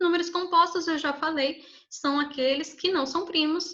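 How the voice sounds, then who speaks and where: A woman talks at a moderate pace, and audible room echo follows her voice. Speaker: math teacher. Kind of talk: lecture.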